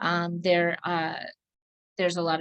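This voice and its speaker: At a moderate pace, a woman speaks in a plain, everyday voice at medium pitch. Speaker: licensed counselor presenting a training. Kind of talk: online training presentation.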